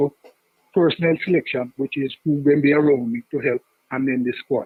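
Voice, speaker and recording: A man with a Jamaican accent talks at a fairly high pitch. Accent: Jamaican English with patois features. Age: 60s. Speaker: caller to sports talk show. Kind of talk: call-in debate.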